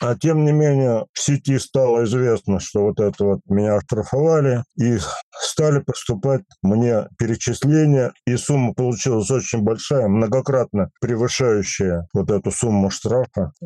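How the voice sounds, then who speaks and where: At a fairly slow pace, a man speaks in a dark, mellow tone with ordinary pitch variation. His loudness stays very even in a dry, close sound with no echo. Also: medium pitch for a man. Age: 80s+. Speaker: artist and local historian. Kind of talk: interview. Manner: halting.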